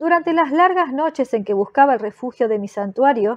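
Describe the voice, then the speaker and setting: Lively intonation from a woman with a high voice. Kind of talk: horror story audiobook, scripted first-person narration read aloud. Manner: slow, dark and solemn, theatrically dramatic; morbidly intense, building to feverish delirium.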